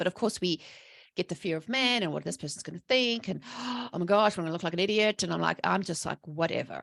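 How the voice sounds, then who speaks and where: A very fast, animated woman's voice, fairly low, with vocal fry and ordinary pitch variation, in a very clean recording with a silent background and a dry, close sound with no echo. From South Africa. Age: 40s. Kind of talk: podcast interview testimony.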